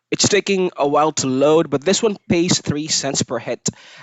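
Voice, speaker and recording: The delivery moves at a moderate pace. The speaker has a non-native accent. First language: not English. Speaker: online freelancer and tutorial youtuber. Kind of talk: screen-recorded tutorial. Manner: casual, with fillers like uh and um.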